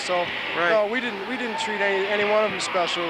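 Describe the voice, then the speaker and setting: Loud background noise sits behind a man whose voice is dry with no echo. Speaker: basketball coach. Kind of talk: interview answer. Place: stadium. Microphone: handheld.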